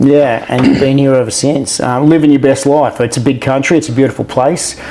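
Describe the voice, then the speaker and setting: Speaking at a fairly quick pace with an Australian accent, a man with a fairly high pitch keeps a monotone, flat intonation over noticeable background noise. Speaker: interviewer. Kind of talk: interview.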